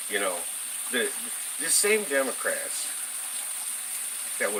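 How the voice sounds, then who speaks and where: This man's voice comes with audible room echo and noticeable background noise. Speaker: political commentary vlogger. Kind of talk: casual political rant. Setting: home kitchen. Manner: halting, many fillers.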